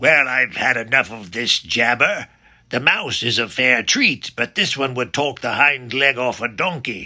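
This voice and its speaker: A man's put-on character voice at a medium pitch. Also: moderate pace. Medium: read story. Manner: coarse and slangy.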